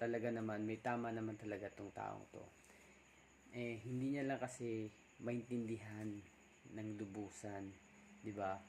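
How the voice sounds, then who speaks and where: With long, frequent pauses, a man speaks at a fairly slow pace and medium pitch. His intonation is fairly even, and background noise is noticeable. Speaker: vlogger. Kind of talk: casual vlog talk. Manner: soft-spoken, deliberately quiet.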